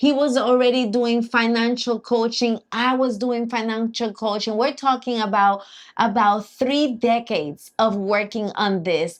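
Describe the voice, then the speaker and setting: A fairly high-pitched woman with a Puerto Rican accent at a fairly slow pace, with ordinary pitch variation. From Puerto Rico. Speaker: accountant and financial coach. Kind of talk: live stream chat. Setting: live stream.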